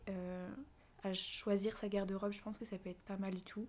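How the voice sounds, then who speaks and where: This woman speaks at a medium pitch with a dark, mellow tone. Her delivery is fairly slow, and her intonation is monotone and flat. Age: 20s. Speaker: content creator, student. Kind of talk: casual interview chat.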